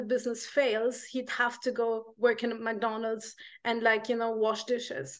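A woman speaks in a high voice at a moderate pace. The background is quiet. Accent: Arabic. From Egypt. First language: Arabic. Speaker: life coach. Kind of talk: casual chat. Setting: video call.

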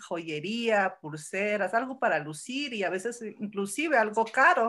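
A woman with a fairly high pitch speaks at a fairly slow pace in a very clean recording with a silent background. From born in Los Angeles, moved to Mexico as teen. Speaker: entrepreneur in gold investment. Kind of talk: podcast interview. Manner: hesitant, many fillers.

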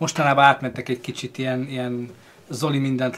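Rattling along at a very fast pace, a man speaks at a medium pitch in a monotone, flat intonation. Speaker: streamer and film discussion host. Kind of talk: casual live stream chat.

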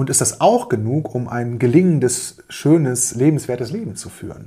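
The tone is dark and mellow, somewhat breathy, at a fairly slow pace. The recording is very clean, with a silent background. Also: man. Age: 40s. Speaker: business coach and podcast host. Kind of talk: solo podcast monologue. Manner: hesitant fillers.

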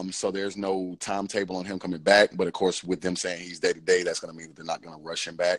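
Someone with an American accent talks at a very fast pace in monotone, flat intonation, with big swings in loudness. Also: man, very deep, low pitch for a man. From Georgia, US (Cobb County). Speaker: podcast host. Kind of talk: casual chat. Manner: hesitant, many fillers.

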